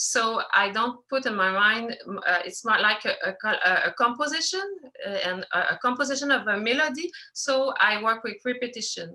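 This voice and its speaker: With a French accent and lively intonation, a woman speaks at a moderate pace and a high pitch. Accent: non-native English, French. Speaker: filmmaker, animator. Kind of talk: Q&A interview. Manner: halting, many hesitations.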